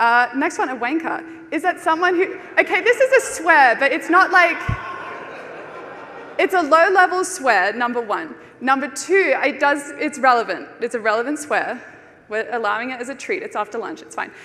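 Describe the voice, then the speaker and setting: A woman with an Australian accent projects a raised, high-pitched voice at a moderate pace over noticeable background noise. Her pitch swings very widely and her loudness shifts a lot. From Australia (Brisbane). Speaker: conference speaker. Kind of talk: conference talk. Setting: stage with audience.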